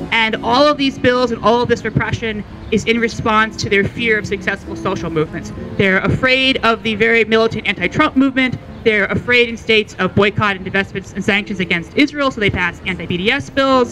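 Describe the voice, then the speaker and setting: A man's raised, projected voice, high in pitch with ordinary pitch variation, over clear music in the background. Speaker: advocacy group representative, rally speaker. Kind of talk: rally speech. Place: street. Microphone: handheld.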